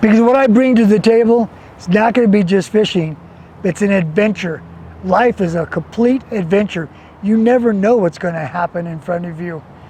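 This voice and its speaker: Someone with an American accent talks at a moderate pace with ordinary pitch variation, over noticeable background noise. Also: man, high pitch for a man. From New Mexico, US Southwest. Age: 60s. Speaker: outdoor adventure vlogger. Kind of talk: casual to-camera monologue. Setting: outdoors by a river. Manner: animated.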